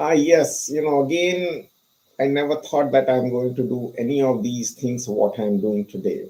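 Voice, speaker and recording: A man with an Indian accent speaks at a fairly slow pace. His tone is dark and mellow. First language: not English; English is his third language. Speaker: pharmacist and author. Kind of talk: interview. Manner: frequent fillers (you know).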